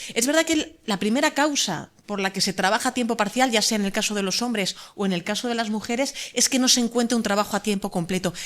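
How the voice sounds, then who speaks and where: A woman's fairly high voice at a very fast pace, with hardly any pauses and ordinary pitch variation. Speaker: law professor. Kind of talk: conference talk. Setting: conference panel.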